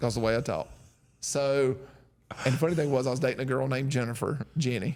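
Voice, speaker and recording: With a strong Southern US accent, a man speaks at a medium pitch, his loudness very even and his intonation fairly even. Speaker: podcast host, military veteran. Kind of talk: casual chat. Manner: slow.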